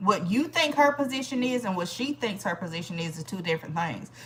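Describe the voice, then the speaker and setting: Amid noticeable background noise, a woman speaks in an animated tone with very wide pitch swings. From Georgia, US South. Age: 40s. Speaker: livestream host. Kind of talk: casual livestream chat.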